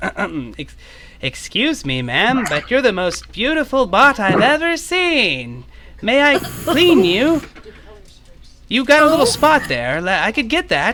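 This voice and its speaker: Putting on a robotic character voice, a man talks at an extremely high pitch and a fairly slow pace. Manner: eager, polite.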